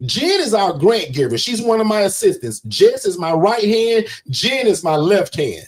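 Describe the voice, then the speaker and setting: Loud and animated, the speech moves at a moderate pace with very wide pitch swings. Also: man. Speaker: business coach. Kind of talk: livestream sales pitch. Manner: loud and forceful.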